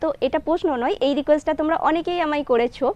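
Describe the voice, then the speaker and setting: A woman with lively intonation. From West Bengal, India (Purba Bardhaman); West Bengal. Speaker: vlogger. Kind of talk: Q&A vlog, casual talk to viewers. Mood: friendly, mildly pleading.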